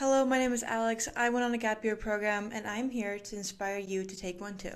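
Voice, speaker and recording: In an American accent, a woman with a fairly high pitch and an unremarkable speaking voice talks at a fairly quick pace with fairly even intonation. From US, Utah (Park City), raised in Mexico from age six. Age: 18. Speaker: athlete and gap year alumnus. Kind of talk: scripted vlog narration.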